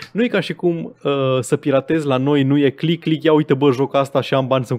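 A man rattles along very fast at a medium pitch, varying it in an ordinary way. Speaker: gaming podcast co-host. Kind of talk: casual chat. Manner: stammering.

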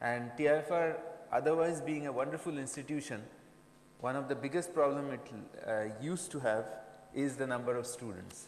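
A man with an Indian accent and a fairly high pitch, at a moderate pace amid audible room echo. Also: ordinary pitch variation. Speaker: professor. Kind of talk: lecture. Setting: stage with audience. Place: hall. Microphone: podium.

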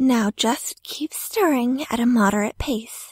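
Put-on character voice from a man, pitched extremely high. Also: fairly slow pace, ordinary pitch variation. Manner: stern, irritated.

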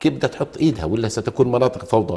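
A somewhat breathy man's voice, dark and mellow in tone, at a fairly quick pace. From Jordan (Palestinian refugee family). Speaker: lawyer and former member of parliament; lawyer. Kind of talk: TV political talk show. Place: studio. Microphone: lapel.

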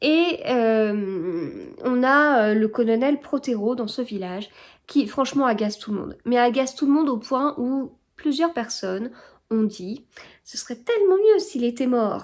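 A woman's high-pitched voice at a very slow pace, lively in intonation and with big swings in loudness, against a quiet background. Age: 30s. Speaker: book vlogger. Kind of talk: casual vlog talk to camera. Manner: hesitant, many filler sounds. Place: home room. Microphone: phone near.

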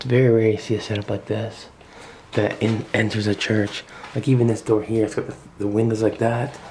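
A man speaks at a fairly quick pace with fairly low pitch and little pitch movement. His tone is slightly mellow, with faint background noise.

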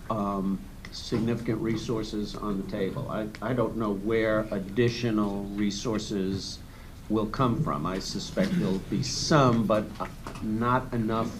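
Over noticeable background noise, a man talks at a fairly slow pace with a fairly low pitch. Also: ordinary pitch variation. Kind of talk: meeting presentation. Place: meeting room. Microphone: podium.

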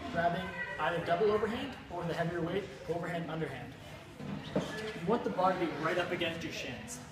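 Through loud background noise and audible room echo, a man talks at a very fast pace with ordinary pitch variation. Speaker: fitness instructor. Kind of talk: tutorial. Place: gym.

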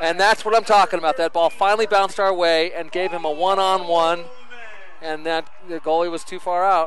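Loud and animated, a man talks at a fairly quick pace in a high pitch, with a dry sound with no echo and light background noise. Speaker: color commentator. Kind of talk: live sports commentary, analysis. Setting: press box at a soccer field. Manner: animated, louder on goals. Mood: pleased, upbeat. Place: stadium.

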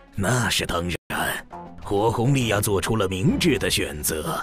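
A man speaks at a fairly slow pace in a medium pitch. Clear music plays in the background. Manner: smug, then irritated.

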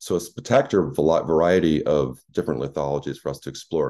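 Very deep and low with vocal fry, a man's dark, mellow voice moves at a very fast pace over a quiet background. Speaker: planetary scientist; presenter. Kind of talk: lecture. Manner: halting, many fillers. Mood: enthusiastic, explanatory. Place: home room.

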